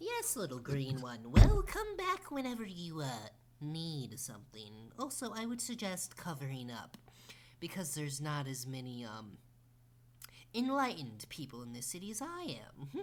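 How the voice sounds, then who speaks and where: A put-on character voice speaks at a middle pitch and a moderate pace. Long pauses come often. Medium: actual play. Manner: sweet, drawn-out, curious.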